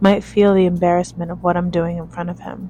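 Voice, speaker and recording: This woman's voice sits at a fairly low pitch. She speaks in a monotone with flat intonation. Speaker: aspiring author. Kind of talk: reading from own draft novel. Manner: whispered.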